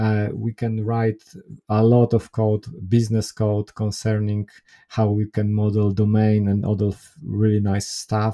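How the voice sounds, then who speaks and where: A man with a Polish accent speaks at a fairly slow pace in a fairly low pitch, with monotone, flat intonation. His tone is dark and mellow, and the sound is dry and close with no echo. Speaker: software developer and consultant. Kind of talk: interview. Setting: remote call.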